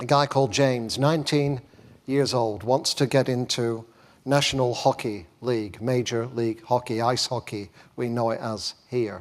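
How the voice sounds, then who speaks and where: This man talks with an English accent at a moderate pace. His pitch is medium and his intonation fairly even. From England. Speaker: education professor giving keynote. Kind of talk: conference keynote.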